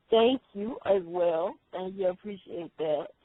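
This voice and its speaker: In a Southern US accent, the speech moves at a fairly slow pace. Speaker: radio host. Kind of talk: interview.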